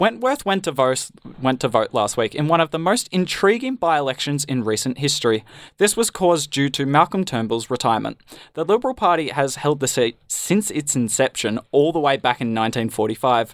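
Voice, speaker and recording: A man's fairly high voice with lively intonation at a fairly quick pace, dry and close with no echo, on a very clean recording with a silent background. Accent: Australian. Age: young. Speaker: student radio host. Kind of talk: comedy news show.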